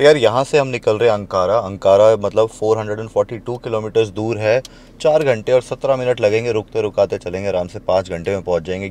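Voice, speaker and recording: In a dry recording with no echo, a man talks at a fairly slow pace with ordinary pitch variation. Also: fairly low pitch for a man. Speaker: travel vlogger. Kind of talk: casual vlog chat. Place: car.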